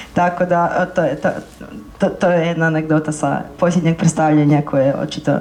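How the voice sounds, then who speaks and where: Over noticeable background noise, a woman talks at a very fast pace with a very deep, low pitch, monotone, flat intonation and very even loudness. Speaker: interpreter. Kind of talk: consecutive interpreting. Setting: library stage with audience. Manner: halting.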